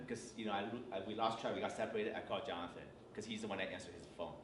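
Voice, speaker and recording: A man is speaking. Audible room echo and noticeable background noise are present. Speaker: church workshop presenter, parent. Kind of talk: workshop talk. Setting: church retreat workshop.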